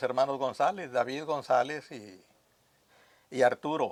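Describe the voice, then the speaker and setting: The sound here is dry and close, free of any echo. A male speaker talks very slowly. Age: 80s+. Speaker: veteran radio announcer. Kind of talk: interview. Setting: at his home.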